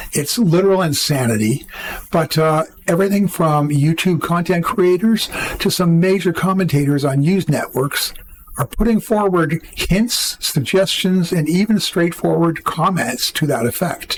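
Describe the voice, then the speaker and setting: A man's high-pitched voice with a Canadian accent, at a moderate pace and very even loudness, over noticeable background noise. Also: ordinary pitch variation. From Canada. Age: 70s. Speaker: political commentary youtuber. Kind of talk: opinion commentary to camera.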